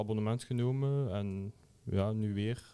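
Medium in pitch, this man has a dark, mellow tone and fairly even intonation. The recording is very clean, with a silent background. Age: 20s. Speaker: student. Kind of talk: casual chat.

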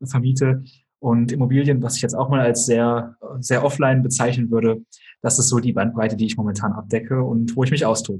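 The voice has a dark, mellow tone and is somewhat breathy, with monotone, flat intonation. Its loudness stays very even at a fairly quick pace. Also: man, medium pitch for a man. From Germany, small village near Kassel (northern Hesse). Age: 20s. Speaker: entrepreneur and YouTuber. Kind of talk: podcast interview.

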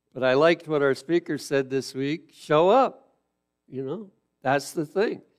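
A man with a plain, everyday voice, fairly high in pitch for a man, talks at a fairly slow pace with ordinary pitch variation. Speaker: preacher. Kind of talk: sermon. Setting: church with live audience in the evening. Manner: earnest, teacherly preaching, steady and exhortative.

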